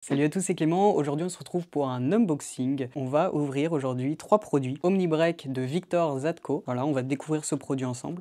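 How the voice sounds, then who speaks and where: Against a quiet background, a man speaks with a dark, mellow tone at a fairly high pitch. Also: ordinary pitch variation, moderate pace, hardly any pauses. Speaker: magic shop presenter. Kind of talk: product unboxing video. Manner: hesitant, many fillers.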